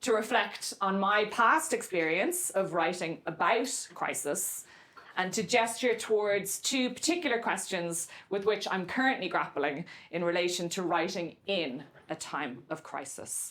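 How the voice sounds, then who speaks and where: A woman with an Irish accent speaks fairly slowly in a medium pitch with lively intonation, and audible room echo surrounds her voice. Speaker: novelist and creative writing professor. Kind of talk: lecture. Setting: lecture room with audience. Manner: deliberately slow.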